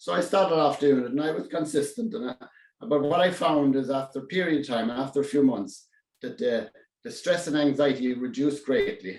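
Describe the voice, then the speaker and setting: A man speaks in a strong Irish accent. His intonation is lively and his pace fairly quick. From Ireland, County Kerry. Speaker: public speaking club member. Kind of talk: prepared speech. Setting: speech contest. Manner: halting; goes quiet at times.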